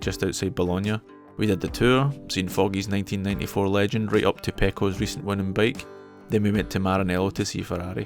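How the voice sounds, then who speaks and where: A man with a Scottish accent, fairly low in pitch, with ordinary pitch variation and a very fast pace, with music in the background. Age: 40s. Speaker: motorcyclist. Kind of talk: travel vlog narration.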